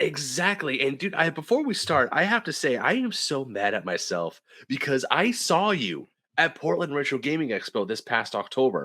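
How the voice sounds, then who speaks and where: A man with a fairly high pitch speaks at a moderate pace, his animated tone bright and sharp with vocal fry. His pitch swings very wide. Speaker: podcast host. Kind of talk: casual chat.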